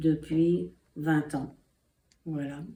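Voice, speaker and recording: A woman with a very deep, low pitch and a dark, mellow tone talks at a very slow pace with fairly even intonation. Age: 80s+. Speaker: interviewee, daughter of a host family member. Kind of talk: testimony. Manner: hesitant, many filler pauses.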